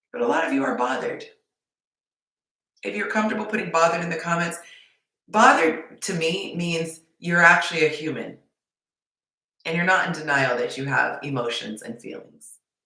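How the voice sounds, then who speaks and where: A woman speaks with a fairly low pitch and lively intonation. Long, frequent pauses break her speech, and room echo is audible. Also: fairly quick pace, big swings in loudness. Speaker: dating coach. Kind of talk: livestream talk to viewers. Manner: passionate; less bubbly than usual.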